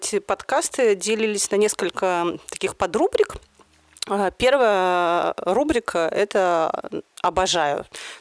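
A woman speaks with lively intonation and very even loudness. The sound is dry and close with no echo. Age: 40s. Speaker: podcast host. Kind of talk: casual chat.

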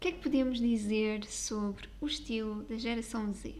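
A woman speaks with a European Portuguese accent, her pitch fairly high. She talks at a fairly slow pace, with audible room echo around her voice. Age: 20s. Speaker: style coach and podcast host. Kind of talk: solo podcast monologue.

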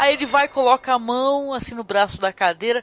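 Music plays in the background as the speaker talks in an animated tone at a moderate pace. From Brazil. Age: 50s. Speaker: podcast host. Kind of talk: casual chat.

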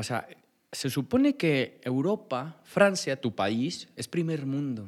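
A man talks at a medium pitch with lively intonation. He has a plain, everyday voice. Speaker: podcast host. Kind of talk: interview. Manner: formal.

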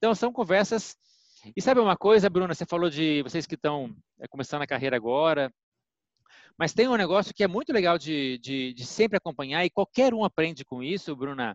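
A man talks at a fairly quick pace in a fairly high voice. His pitch swings very widely. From Brazil, Minas Gerais. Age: 40s. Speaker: pharmaceutical executive and physician. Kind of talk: interview. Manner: hesitant, repeats words.

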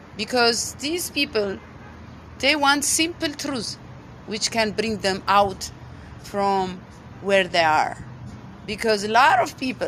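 A woman with an Ethiopian accent speaks at a very slow pace and fairly high pitch, her intonation lively and broken by long, frequent pauses. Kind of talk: testimony.

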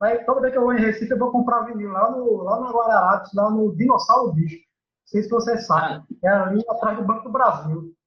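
Pitched high for a man, this man speaks at a fairly quick pace with ordinary pitch variation. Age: 30s. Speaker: podcast host. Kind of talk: casual chat.

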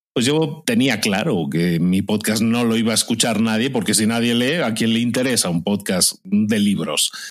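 A man speaks at a moderate pace and medium pitch, with lively intonation, very even loudness and hardly any pauses. The recording is very clean, with a silent background. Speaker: podcaster. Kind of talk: interview.

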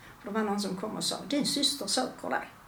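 Noticeable background noise and audible room echo accompany a woman speaking with lively intonation. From Skåne, Malmö. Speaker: retired mother of a gambling addict. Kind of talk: personal testimony in interview.

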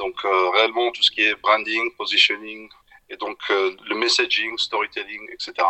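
Speaking at a fairly slow pace, a man's loudness swings widely. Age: 40s. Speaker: entrepreneur. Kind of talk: casual interview.

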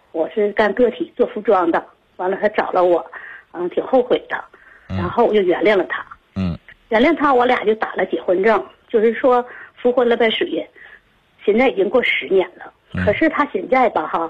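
At a moderate pace, a woman with a fairly high voice makes very wide pitch swings and leaves long, frequent pauses. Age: 60s. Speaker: caller. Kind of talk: phone call. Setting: phone call.

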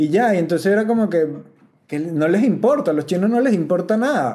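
With a Venezuelan accent, a man speaks at a very fast pace in a high voice with a dark, mellow tone and lively intonation. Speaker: comedian and podcast host. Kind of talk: casual podcast monologue. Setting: rented house.

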